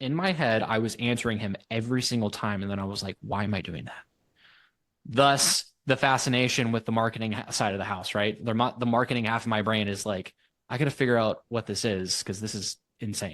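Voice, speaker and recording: The background is quiet as a man speaks at a fairly quick pace. His pitch is medium, with ordinary variation. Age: 40s. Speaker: entrepreneur and marketer. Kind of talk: podcast interview. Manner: animated.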